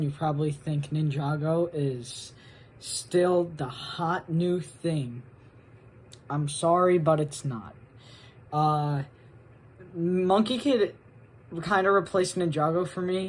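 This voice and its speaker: A woman talks at a very slow pace in a fairly low pitch. Her voice is somewhat breathy, with ordinary pitch variation. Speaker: guest contributor to video essay. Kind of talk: casual video segment.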